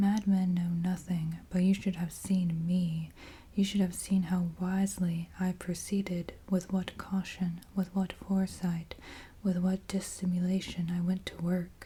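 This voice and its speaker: A soft-spoken man with a gentle tone, high pitch, flat monotone intonation and a fairly slow pace. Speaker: ASMR creator. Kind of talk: dramatic horror story reading. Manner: gentle, soft-spoken.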